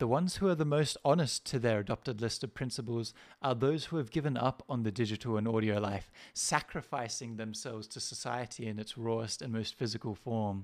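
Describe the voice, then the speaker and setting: In a very clean recording with a silent background, a man with an unremarkable speaking voice talks at a fairly quick pace, with medium pitch and ordinary pitch variation. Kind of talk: poetry reading, satirical spoken-word essay.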